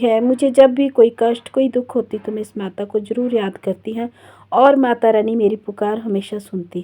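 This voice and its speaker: The voice has a dark, mellow tone and ordinary pitch variation, delivered at a fairly slow pace. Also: woman. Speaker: vlogger. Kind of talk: travel vlog narration.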